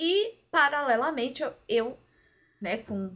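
Someone talks at a very slow pace in a very clean recording with a silent background. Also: woman. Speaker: podcast co-host. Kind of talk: casual chat.

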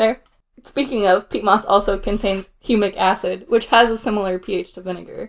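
Loudness swings widely in this woman's unremarkable speaking voice. She keeps a moderate pace and fairly even intonation. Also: medium pitch for a woman. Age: 30s. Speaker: podcast co-host. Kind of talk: casual chat with storytelling.

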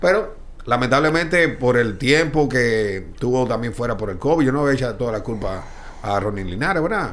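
Audible room echo surrounds a man speaking at a moderate pace with very wide pitch swings. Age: 40s. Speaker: baseball team executive. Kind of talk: casual chat.

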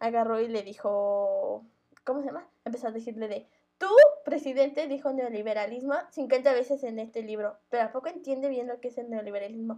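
A woman with a high pitch and a dark, mellow tone talks at a moderate pace. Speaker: podcast co-host. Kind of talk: casual chat.

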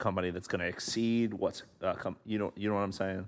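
On a very clean recording with a silent background, a man with a fairly low pitch speaks in a monotone, flat way. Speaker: podcast co-host. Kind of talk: casual interview conversation.

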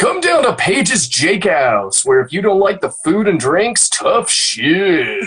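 This man uses a put-on character voice with high pitch. He talks at a fairly slow pace. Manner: hard-sell, brash announcer.

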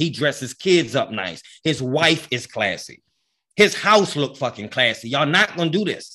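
In a very clean recording with a silent background, a man with an American accent speaks at a moderate pace in a fairly high pitch, his tone animated, bright and sharp. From US, grew up in housing projects. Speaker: sports podcast co-host, football fan. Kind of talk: casual chat.

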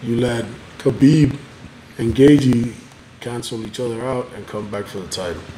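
A man talks at a fairly slow pace with ordinary pitch variation. Background noise is noticeable. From Cuba. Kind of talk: casual chat over beers. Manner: casual, profane, jokey.

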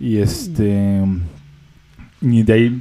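The man has a Mexican accent and a medium pitch. His tone is dark and mellow, with ordinary pitch variation. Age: 20s. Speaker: music podcast co-host. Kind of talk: casual chat.

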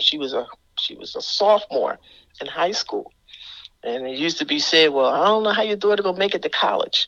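A woman speaks at a fairly quick pace. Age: 60s. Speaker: pastor. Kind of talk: radio interview.

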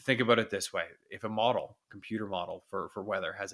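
Speaking at a very fast pace, a man has a medium-pitched voice with a bright, sharp tone. The recording is very clean with a silent background. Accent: Canadian. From Ontario, Canada (Whitby). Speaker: TV meteorologist. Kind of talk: interview.

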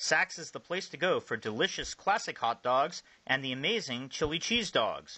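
A man talks at a moderate pace. He has a plain, everyday voice. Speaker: play-by-play baseball announcer. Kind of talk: live baseball commentary and sponsor reads. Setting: ballpark broadcast. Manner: brisk, upbeat, informative.

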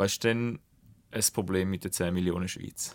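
A man speaks at a moderate pace in a normal speaking voice, with ordinary pitch variation. The sound is dry and close with no echo, in a very clean recording with a silent background. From Switzerland, Schaffhausen. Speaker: podcast host. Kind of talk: podcast interview.

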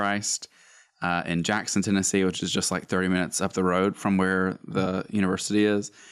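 A man's very deep, low voice at a moderate pace, on a very clean recording with a silent background. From US South, Northeast Alabama. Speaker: worship pastor. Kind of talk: casual chat.

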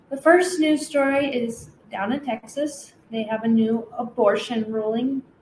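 A woman uses an ordinary speaking voice, pitched fairly high, with ordinary pitch variation. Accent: American. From US Pacific Northwest (Washington state). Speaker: podcast co-host. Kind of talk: casual chat.

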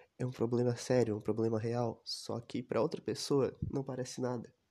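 A man with a dark, mellow tone and medium pitch talks at a moderate pace over a quiet background. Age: 20s. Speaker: podcaster. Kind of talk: personal monologue. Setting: recording alone.

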